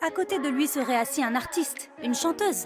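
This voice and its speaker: A woman's high-pitched voice comes through with music in the background. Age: 20s. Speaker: voice actor. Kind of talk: TV commercial read. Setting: studio.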